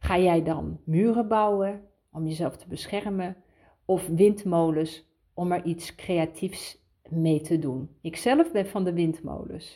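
The voice has a dark, mellow tone and ordinary pitch variation. The pace is very slow. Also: woman. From Netherlands. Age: 50s. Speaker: podcast host, inspirational coach. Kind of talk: inspirational monologue.

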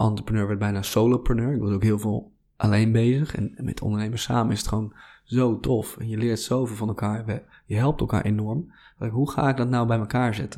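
The tone is dark and mellow, with fairly even intonation at a fairly quick pace. The recording is very clean, with a silent background. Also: man, medium pitch for a man. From Netherlands, Drenthe. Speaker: passion coach. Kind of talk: interview. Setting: studio.

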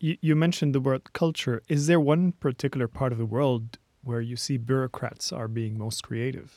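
A man's medium-pitched voice with a Lebanese accent at a moderate pace, ordinary pitch variation, a dry, close sound with no echo and a very clean recording with a silent background. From Lebanon. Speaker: podcast host. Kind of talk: interview.

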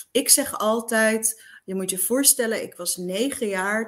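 A woman with a plain, everyday voice talks at a fairly slow pace, her fairly high pitch showing ordinary variation. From eastern Netherlands. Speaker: radio presenter. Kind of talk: interview.

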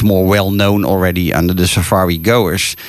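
A man talks with a Dutch accent. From Netherlands. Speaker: radio host and safari tour operator. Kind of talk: radio interview. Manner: halting.

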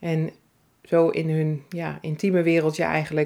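The tone is warm and relaxed, also dark and mellow. The recording is very clean, with a silent background. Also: woman. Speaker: salon owner and entrepreneur. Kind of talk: personal storytelling monologue. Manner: warm, relaxed.

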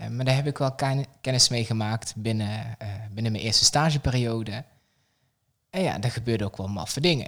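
The recording is very clean, with a silent background. The pace is moderate and the pitch varies in an ordinary way. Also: man, medium pitch for a man. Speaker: childcare pedagogical coach. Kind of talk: casual interview. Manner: animated.

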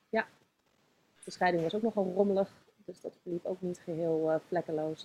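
A woman's fairly low voice with a dark, mellow tone and fairly even intonation. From Netherlands, Zoetermeer (South Holland). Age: 30s. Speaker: author and yoga teacher. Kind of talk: interview, life story. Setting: studio.

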